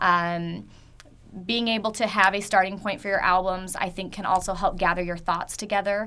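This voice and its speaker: A woman's bright, sharp voice at a medium pitch, flat and monotone in intonation. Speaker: photographer. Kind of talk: webinar tutorial. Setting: online webinar. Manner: fast.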